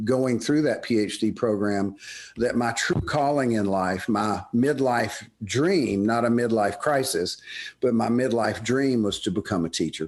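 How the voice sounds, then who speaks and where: A man with a Southern US accent against a quiet background. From US South, Birmingham, Alabama. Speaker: business professor. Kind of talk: interview. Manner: halting, with many fillers and repetitions.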